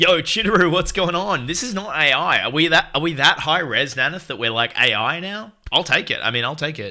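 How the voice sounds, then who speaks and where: In a very clean recording with a silent background, a man speaks loudly at a moderate pace, his bright, sharp, animated tone edged with vocal fry. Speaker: video game streamer. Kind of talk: casual chat. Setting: live stream.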